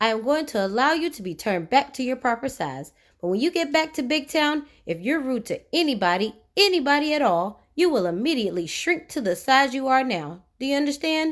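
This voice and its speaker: In a put-on character voice, a woman talks at a fairly quick pace with a high pitch and hardly any pauses, on a very clean recording with a silent background. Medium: read story. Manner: stern, authoritative.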